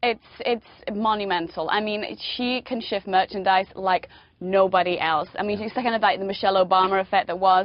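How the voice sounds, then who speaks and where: A woman with a British accent talks at a medium pitch with fairly even intonation. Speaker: fashion editor. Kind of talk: TV interview. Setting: remote link from New York.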